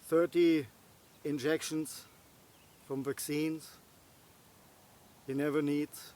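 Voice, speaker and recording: A man with a non-native accent and a fairly high voice talks very slowly. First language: not English. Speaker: bushcraft and survival vlogger. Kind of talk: casual monologue to camera. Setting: outdoors. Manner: halting, many fillers.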